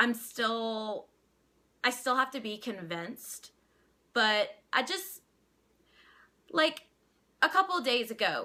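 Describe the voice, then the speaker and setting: With a Louisiana accent, a woman speaks very slowly in a high, bright and sharp voice, her pitch swinging very widely between long, frequent pauses. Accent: Louisiana accent, milder than Cajun. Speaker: vlogger. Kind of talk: casual vlog opinion. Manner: halting, many restarts.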